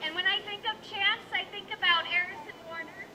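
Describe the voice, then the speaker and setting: The voice is loud, with crowd noise behind it. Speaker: union rally organizer. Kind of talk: rally speech. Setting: outdoor rally with PA system.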